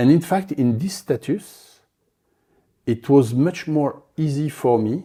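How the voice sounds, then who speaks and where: Over a silent background on a very clean recording, a man speaks very slowly in a somewhat breathy, dark, mellow voice of fairly high pitch, with ordinary pitch variation. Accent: French. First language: French. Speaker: polar explorer. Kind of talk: interview. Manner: halting.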